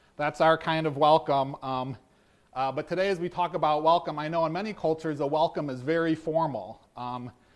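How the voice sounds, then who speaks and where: Fairly quick and fairly high-pitched, a man talks with an American accent and ordinary pitch variation. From US, East Coast or Midwest. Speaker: pastor and seminary teacher. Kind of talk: sermon. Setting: church service. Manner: halting, many fillers; informal.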